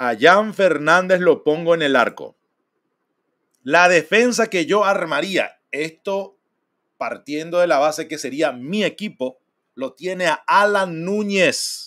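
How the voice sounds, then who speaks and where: In a quiet background, a man speaks at a high pitch and a fairly slow pace. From Paraguay. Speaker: football streamer and fan commentator; football streamer, fan commentator. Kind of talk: casual live stream talk. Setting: live stream. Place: home room.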